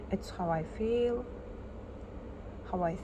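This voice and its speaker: The speaker talks at a very slow pace with a non-native accent and fairly even intonation, with audible room echo and noticeable background noise. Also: woman. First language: not English. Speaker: artist. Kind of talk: personal vlog.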